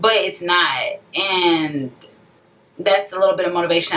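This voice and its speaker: A woman's fairly low voice with ordinary pitch variation and noticeable background noise behind it. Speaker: vlogger. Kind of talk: emotional rant to camera. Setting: self-recorded video.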